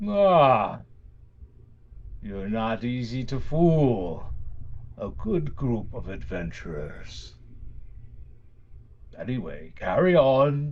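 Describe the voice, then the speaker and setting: A man speaks in a put-on character voice, booming and medium-pitched, at a very slow pace with long, frequent pauses and big swings in loudness. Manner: wry, amused.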